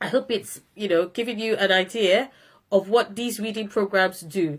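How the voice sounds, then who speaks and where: A woman speaks at a medium pitch and a fairly slow pace, with ordinary pitch variation. The recording is very clean, with a silent background. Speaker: phonics educator. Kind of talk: tutorial. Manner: trying to speak slowly.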